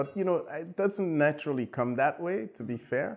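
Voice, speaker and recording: A man with a Haitian accent talks at a fairly quick pace. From Haiti, raised in Montreal. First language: Haitian Creole. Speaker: tech executive and entrepreneur. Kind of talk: interview. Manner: hesitant, many fillers.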